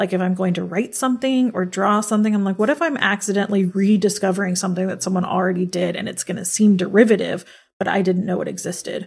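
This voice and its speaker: At a very fast pace with hardly any pauses, a woman speaks at medium pitch, somewhat breathy, with fairly even intonation. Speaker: podcast co-host. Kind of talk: casual chat.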